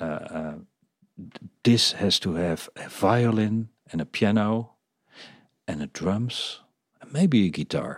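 Speaking at a very slow pace with long, frequent pauses, a man with a Dutch accent uses a fairly low pitch, lively intonation and big swings in loudness. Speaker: podcast host and business coach. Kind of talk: interview.

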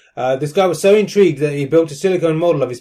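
With a British accent, the man has a dark, mellow tone at a fairly high pitch. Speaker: podcast host, son. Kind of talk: casual family chat.

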